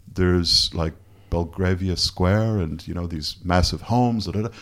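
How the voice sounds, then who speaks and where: In a Canadian accent, a man talks with a very deep, low pitch and fairly even intonation. The recording is very clean, with a silent background. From Canada. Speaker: photographer. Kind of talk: casual chat. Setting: hotel room.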